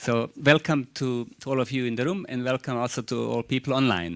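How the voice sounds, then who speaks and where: This is a man's voice. He speaks with a Croatian accent. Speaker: university chairperson. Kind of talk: speech at an open day. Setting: room with live audience and online stream. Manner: halting, with fillers.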